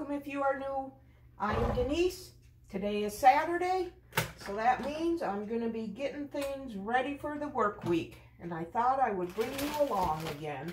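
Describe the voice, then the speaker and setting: Amid noticeable background noise, a woman with a high pitch speaks at a moderate pace. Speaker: home vlogger. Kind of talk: casual vlog chat. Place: kitchen. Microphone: camera far.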